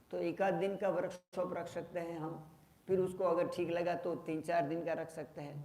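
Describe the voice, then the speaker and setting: Through noticeable background noise, a man with a high pitch speaks in a monotone, flat way at a moderate pace. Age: 60s. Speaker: yoga teacher. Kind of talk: talk to workshop participants.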